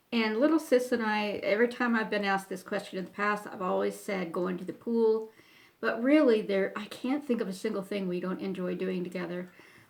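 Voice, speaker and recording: A woman with an American accent speaks at a fairly quick pace, her pitch medium with ordinary variation. Noticeable background noise runs under her voice. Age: 60s. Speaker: YouTuber. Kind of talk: casual Q&A talk to camera. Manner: hesitant, with many fillers.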